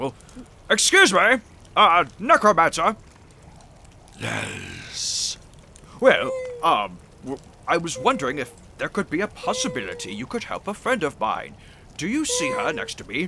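Someone talks at a moderate pace in a put-on character voice. Long pauses come often. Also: man, high pitch for a man. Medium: actual play. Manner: courteous.

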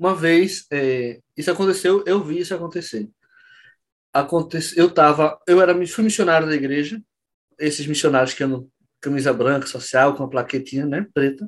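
In an unremarkable speaking voice, the speaker goes at a moderate pace with ordinary pitch variation over a quiet background. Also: man, fairly high pitch for a man. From Pernambuco, Brazil (Olinda). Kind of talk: casual interview.

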